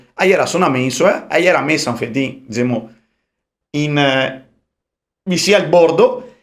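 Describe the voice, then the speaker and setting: With a Venetian accent and a fairly high pitch, a man talks at a moderate pace, using lively intonation and long, frequent pauses. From Veneto, Italy. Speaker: rapper. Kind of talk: podcast interview answer, casual storytelling.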